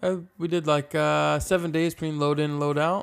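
The recording is very clean with a silent background as a man with an ordinary speaking voice and fairly high pitch talks at a moderate pace. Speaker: podcast co-host, film set background actor. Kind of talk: casual comedic chat. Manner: playful, laughs often.

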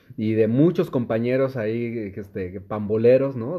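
Medium in pitch with ordinary variation, a man talks in a plain, everyday voice. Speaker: podcast host. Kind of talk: casual chat.

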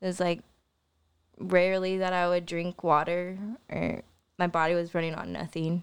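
With an American accent, the speaker talks in a monotone, flat intonation broken by long, frequent pauses. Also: woman, fairly low pitch for a woman, moderate pace. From Missouri, Joplin area. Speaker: guest sharing life story. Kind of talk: testimony. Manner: halting, with frequent fillers.

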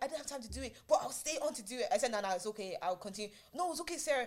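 A woman's high-pitched voice with lively intonation and an animated tone, set against noticeable background noise. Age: 20s. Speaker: podcast host. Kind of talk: casual chat.

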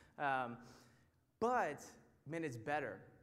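A fairly high-pitched man with an American accent, with audible room echo. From Texas, near Houston. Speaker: Bible study teacher. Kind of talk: sermon. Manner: animated.

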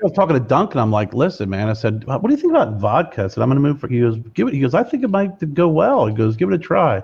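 Against a quiet background, a somewhat breathy man talks very fast with lively intonation. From Pennsylvania, Lebanon-Lancaster area. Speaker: cigar brand owner and podcast host. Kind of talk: casual interview chat.

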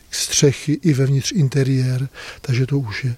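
A man talks at a very slow pace with fairly even intonation. His pitch is fairly high. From northern Bohemia (Kadaň). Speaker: monastery prior, monk. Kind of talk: interview. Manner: halting, conversational.

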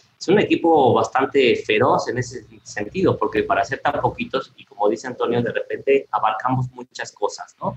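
Talking at a moderate pace with hardly any pauses, a man's loudness swings widely. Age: 40s. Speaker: industrial designer. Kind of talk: interview conversation.

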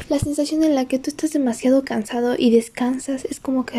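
A woman with a high-pitched voice and ordinary pitch variation speaks over noticeable background noise. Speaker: podcaster. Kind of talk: casual monologue. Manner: halting.

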